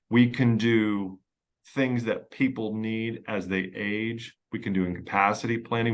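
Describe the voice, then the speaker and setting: Speaking with an American accent in a fairly low pitch, a man keeps a monotone, flat intonation against a quiet background. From Pennsylvania, US. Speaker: estate planning lawyer. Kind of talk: podcast interview. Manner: conversational, with fillers and repetitions.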